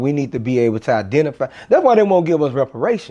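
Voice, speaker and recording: Very fast delivery in an American accent, with lively intonation and a dark, mellow tone. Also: man. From US. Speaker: religious teacher. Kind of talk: casual chat.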